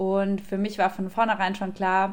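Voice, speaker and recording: At a fairly slow pace, a woman speaks in an ordinary speaking voice at medium pitch. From Germany, Aschaffenburg (Lower Franconia). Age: 20s. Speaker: café owner. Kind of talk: casual interview. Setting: video call.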